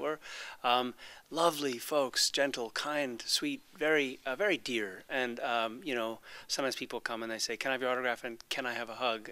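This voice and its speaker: This man has a bright, sharp tone and an American accent. His pitch varies in an ordinary way. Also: medium pitch for a man, moderate pace, very clean recording, silent background. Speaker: actor. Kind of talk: interview answer. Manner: soft-spoken.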